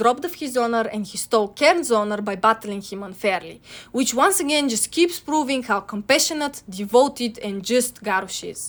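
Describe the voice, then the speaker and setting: A fairly quick pace and lively intonation in a Bulgarian accent, with big swings in loudness. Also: woman. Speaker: video essayist. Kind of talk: video essay narration.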